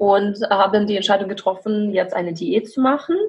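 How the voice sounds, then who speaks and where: A woman talks at a medium pitch, sounding somewhat breathy. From Belarus. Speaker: coach and podcaster. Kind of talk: interview.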